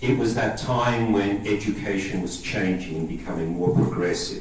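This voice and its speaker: Amid noticeable background noise and audible room echo, a man with an Australian accent talks at a moderate pace in a fairly low pitch with ordinary pitch variation. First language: Greek. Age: 50s. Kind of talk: talk to a parish audience.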